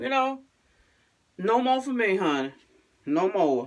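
A woman speaks at a moderate pace with very wide pitch swings against a quiet background. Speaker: vlogger. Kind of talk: casual vlog chat. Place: bathroom. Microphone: phone near.

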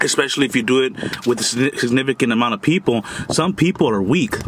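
Very fast speech over noticeable background noise. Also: man. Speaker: food vlogger. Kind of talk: casual vlog chat. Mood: earnest, lecturing about bullying. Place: car. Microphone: phone near.

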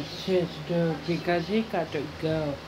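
Over noticeable background noise, a woman speaks at a very slow pace in a fairly low pitch, her intonation monotone and flat. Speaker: home vlogger. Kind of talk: casual vlog chat. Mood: annoyed, exasperated. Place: kitchen. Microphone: phone near.

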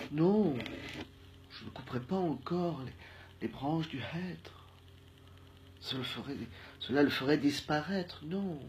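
A playful tone at a very slow pace, with long, frequent pauses. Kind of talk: spoken-word poetry, whimsical alphabet improvisation. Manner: slow, dreamy, playful and halting, with pauses and repetitions; murmured, soft-spoken.

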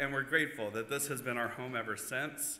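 A man talks at a fairly quick pace amid audible room echo and light background noise. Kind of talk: welcome announcement and prayer. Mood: warm, lightly humorous. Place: church. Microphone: podium.

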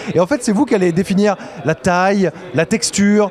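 A man speaks at a high pitch and moderate pace, the sound dry with no echo and light background noise behind him. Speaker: games journalist. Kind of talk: on-location report to camera. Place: hall. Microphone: handheld.

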